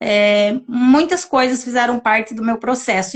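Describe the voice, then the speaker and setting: This woman talks at a fairly slow pace, her high pitch showing ordinary pitch variation. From southern Brazil (Santa Catarina). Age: 30s. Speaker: interview guest sharing personal story. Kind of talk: testimony in a live interview.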